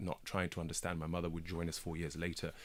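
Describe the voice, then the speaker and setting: A man speaks with a British accent. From Kenya and England. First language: Swahili. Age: 30s. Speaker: broadcaster and documentary maker. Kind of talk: radio interview.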